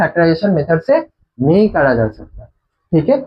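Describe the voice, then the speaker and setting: A man with a non-native accent and very wide pitch swings. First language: not Hindi (speaking Hindi). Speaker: math teacher. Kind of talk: lecture. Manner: halting; casual.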